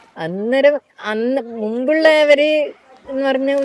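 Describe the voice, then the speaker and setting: Against crowd noise in the background, a woman speaks with ordinary pitch variation. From Kerala, India. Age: 60s. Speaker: dairy farmer and swimming teacher. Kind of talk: documentary interview answer.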